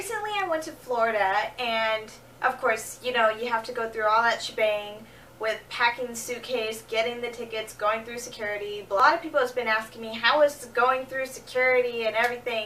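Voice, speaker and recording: Noticeable background noise accompanies a woman speaking fairly quickly at a fairly high pitch, her intonation fairly even but her loudness swinging widely. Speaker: vlogger. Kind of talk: casual talk to camera. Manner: low energy.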